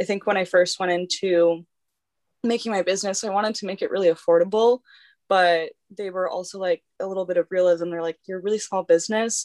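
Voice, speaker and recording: Talking at a very fast pace, a woman has a medium pitch and fairly even intonation, in a dry, close sound with no echo. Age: 20s. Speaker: instagram influencer and clothing brand owner. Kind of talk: casual interview chat.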